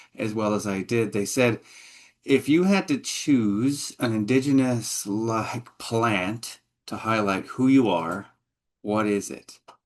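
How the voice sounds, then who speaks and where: Against a quiet background, a man talks at a very slow pace, his medium pitch showing ordinary variation. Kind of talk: guest talk. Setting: video call.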